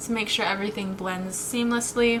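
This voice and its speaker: A woman with an American accent, fairly high-pitched, amid noticeable background noise. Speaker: beauty vlogger. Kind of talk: tutorial. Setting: indoors at home. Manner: casual, chatty.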